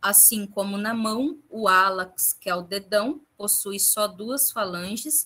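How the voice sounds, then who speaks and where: A woman with a bright, sharp tone and a medium pitch talks very slowly, with ordinary pitch variation and hardly any pauses. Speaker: anatomy teacher. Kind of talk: lecture.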